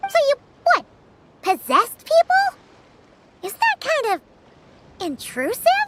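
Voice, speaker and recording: A put-on character voice speaks at an extremely high pitch. It moves at a fairly slow pace with long, frequent pauses. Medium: video game. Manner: excitable.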